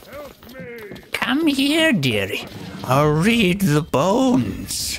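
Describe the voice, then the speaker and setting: In a put-on character voice, the fairly high-pitched speaker moves at a very slow pace with very wide pitch swings over clear background noise. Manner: creepy, wheedling.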